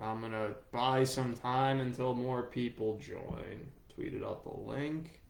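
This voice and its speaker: Amid noticeable background noise, a man speaks at a medium pitch with fairly even intonation. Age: 30s. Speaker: sports journalist. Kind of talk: live stream Q&A. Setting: Facebook live video stream. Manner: casual, with many fillers and repeats.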